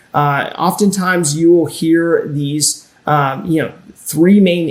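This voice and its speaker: A man with a fairly high pitch and an ordinary speaking voice talks at a fairly slow pace, with ordinary pitch variation. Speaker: personal finance educator. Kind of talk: webinar presentation.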